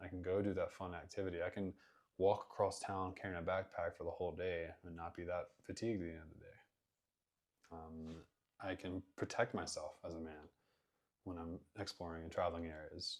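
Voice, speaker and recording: A man's very deep, low voice at a fairly quick pace, monotone and flat, with long, frequent pauses and big swings in loudness. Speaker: fitness content creator and coach. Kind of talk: personal talk to camera. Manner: earnest, reflective.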